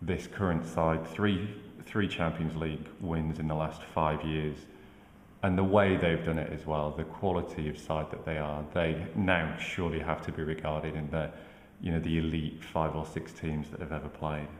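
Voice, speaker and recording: Audible room echo surrounds a man's very deep, low voice. He speaks with monotone, flat intonation. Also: moderate pace. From northern England, Manchester. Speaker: football pundit. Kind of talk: casual chat.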